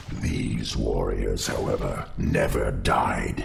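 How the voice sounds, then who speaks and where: Growling in a put-on character voice, a man speaks over clear background noise. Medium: cartoon. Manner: menacing, grave.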